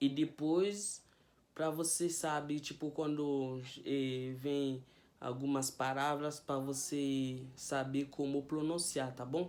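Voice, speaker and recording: A very slow-paced man with a Haitian Creole accent, fairly high pitch and fairly even intonation. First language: Haitian Creole (speaking Portuguese). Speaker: language teacher youtuber. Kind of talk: tutorial. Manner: casual.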